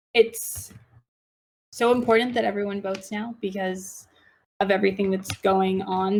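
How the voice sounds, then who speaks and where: With an American accent, a woman talks at a moderate pace and medium pitch on a very clean recording with a silent background. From Washington DC, US. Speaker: public relations professional. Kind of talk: casual chat.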